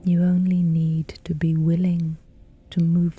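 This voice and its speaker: A woman speaks very slowly in a gentle, calm tone, her pitch fairly low. Music plays in the background. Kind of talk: sleep story, gentle guided reassurance for bedtime. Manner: gentle, calm, slow, soothing.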